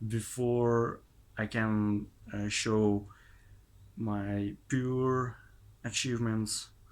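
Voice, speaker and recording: On a very clean recording with a silent background, a man with a non-native accent speaks very slowly with fairly even intonation. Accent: non-native English pronunciation. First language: not English. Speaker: language learner vlogger. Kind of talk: casual monologue vlog. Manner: halting, many hesitations.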